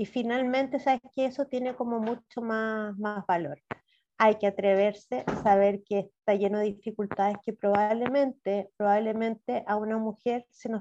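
A woman with a Chilean accent speaks at a moderate pace, her fairly high pitch paired with a dark, mellow tone and fairly even intonation. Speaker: city councillor and sociologist. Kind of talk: interview.

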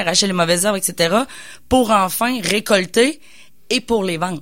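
On a very clean recording with a silent background, a woman with an unremarkable speaking voice talks at a moderate pace and medium pitch, her intonation lively. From Quebec, Bois-Francs region. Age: 30s. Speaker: business coach and entrepreneur. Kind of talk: radio interview. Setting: radio studio.

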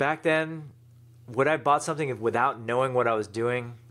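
A man with an ordinary speaking voice talks at a fairly quick pace and medium pitch, with ordinary pitch variation, on a very clean recording with a silent background. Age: 40s. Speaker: e-commerce entrepreneur and author. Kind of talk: interview.

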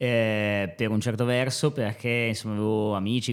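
The intonation is monotone and flat, heard on a very clean recording with a silent background. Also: man. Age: 30s. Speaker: high school teacher. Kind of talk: podcast interview. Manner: halting, many fillers.

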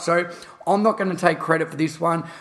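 The delivery is monotone, with flat intonation. It carries an Australian accent. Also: man. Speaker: podcast host and fitness educator.

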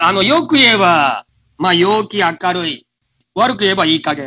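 At a moderate pace, a man with a high pitch uses a raised, projected voice with a bright, sharp tone and very wide pitch swings. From Japan. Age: 60s. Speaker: radio sports presenter. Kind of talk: interview. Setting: internet call.

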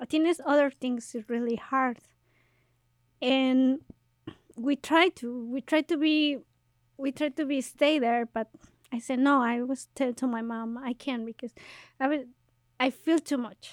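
On a very clean recording with a silent background and a dry, close sound with no echo, a woman speaks at high pitch and a fairly slow pace, with fairly even intonation and long, frequent pauses. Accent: Mexican. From Mexico. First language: Spanish. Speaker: podcast host and activist. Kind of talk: casual bilingual interview.

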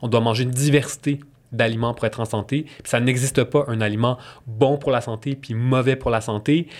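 A man in a Quebec accent, medium-pitched with ordinary pitch variation, fairly quick, on a very clean recording with a silent background. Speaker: nutritionist. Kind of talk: interview.

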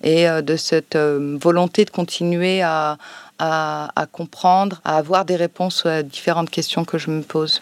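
A woman talks fairly slowly in a fairly low, flat monotone, with dry, close sound, no echo and a very clean recording over a silent background. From France, Savoie (Chambéry). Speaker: librarian and co-author. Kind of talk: public interview. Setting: library, recorded with a live audience. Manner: hesitant, many fillers.

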